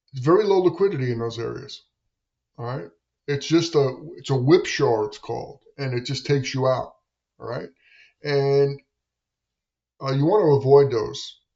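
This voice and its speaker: A man's fairly high, somewhat breathy voice at a moderate pace, with ordinary pitch variation, long, frequent pauses and big swings in loudness. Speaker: day trader streamer. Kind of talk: live trading commentary; casual advice talk. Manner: halting, many fillers.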